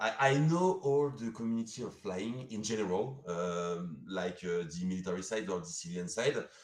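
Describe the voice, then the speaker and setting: A man with a French accent and a fairly low pitch speaks at a moderate pace with hardly any pauses. His pitch swings very widely, and room echo is audible. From France. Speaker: sponsor. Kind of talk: live stream interview. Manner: halting, many fillers.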